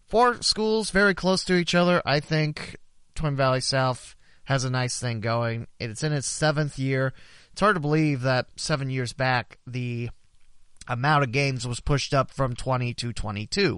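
Speaking at a fairly slow pace in a plain, everyday voice, a man with an American accent keeps a medium pitch and ordinary pitch variation. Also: quiet background. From southwest Ohio, Preble County. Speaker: local sports podcast host and hockey announcer. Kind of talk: sports news roundup.

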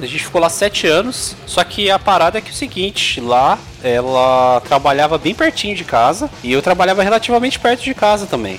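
Over noticeable background noise, the speaker talks at a fairly quick pace with very wide pitch swings. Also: man. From São Paulo, Brazil (east zone, Suzano). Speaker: podcast host. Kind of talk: casual chat.

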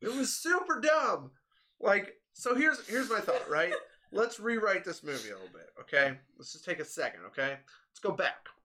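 Big swings in loudness from a man at a moderate pace. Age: 20s. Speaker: podcast host. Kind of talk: casual chat.

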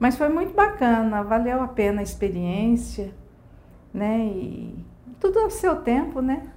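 A woman talks at a fairly slow pace, and audible room echo surrounds her words. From Brazil, Mato Grosso do Sul. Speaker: hair salon owner. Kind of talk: interview.

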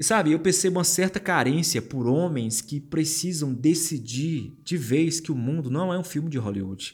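Music plays behind a man with a fairly high voice and lively intonation. He talks at a moderate pace with hardly any pauses. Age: 30s. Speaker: podcast host. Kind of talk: solo podcast monologue. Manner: casual.

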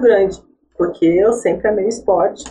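A woman talks at a very fast pace in a somewhat breathy voice with a dark, mellow tone. Her pitch varies in an ordinary way. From born in Iraq, raised in São José, Brazil. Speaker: track cyclist. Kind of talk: podcast interview.

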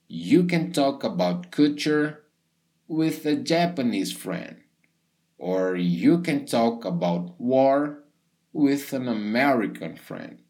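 A man speaks with a Portuguese accent at a very slow pace. His fairly high voice moves in very wide pitch swings. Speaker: English teacher. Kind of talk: podcast monologue for learners. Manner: casual, upbeat.

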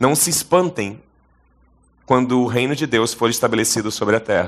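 The speaker is a man with a medium pitch. He varies it in an ordinary way. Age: 40s. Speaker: pastor. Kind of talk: sermon. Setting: stage with audience.

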